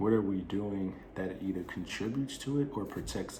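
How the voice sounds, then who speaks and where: Very deep, low male speech at a moderate speed, ordinary pitch variation, audible echo from the room. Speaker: wellness channel host. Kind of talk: monologue to camera.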